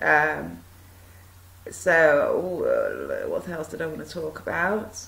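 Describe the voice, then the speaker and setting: A woman is speaking. The recording has audible room echo and noticeable background noise. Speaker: video blogger. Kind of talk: monologue talk to camera. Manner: hesitant, many fillers.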